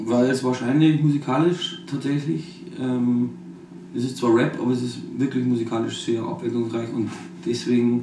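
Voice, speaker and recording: With a Bavarian accent, a man speaks at a moderate pace over noticeable background noise. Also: medium pitch for a man, ordinary pitch variation. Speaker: rapper. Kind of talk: interview answer.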